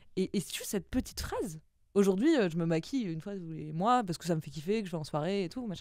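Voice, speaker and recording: A woman talking at a very fast pace with lively intonation and big swings in loudness, the sound dry with no echo against a quiet background. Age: 20s. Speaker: copywriter; podcast guest. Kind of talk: interview. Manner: halting. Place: studio. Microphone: studio mic.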